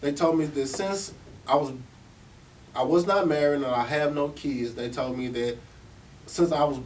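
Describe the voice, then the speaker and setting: This man speaks fairly quickly in a fairly high pitch, with audible room echo around him. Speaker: formerly incarcerated speaker. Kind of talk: talk to service providers. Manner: animated.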